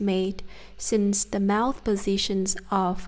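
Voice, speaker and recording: A woman speaks with a southern Vietnamese accent. Her pace is very slow. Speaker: Vietnamese pronunciation teacher. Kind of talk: language lesson to camera.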